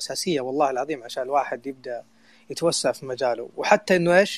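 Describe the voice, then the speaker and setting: A man with an unremarkable speaking voice, fairly high in pitch, ordinary pitch variation, fairly quick pace. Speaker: community co-founder and online audio room host. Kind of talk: casual panel discussion. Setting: online audio room.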